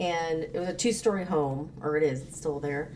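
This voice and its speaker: A woman's fairly low voice at a moderate pace, with audible room echo. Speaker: podcast co-host. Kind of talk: casual chat.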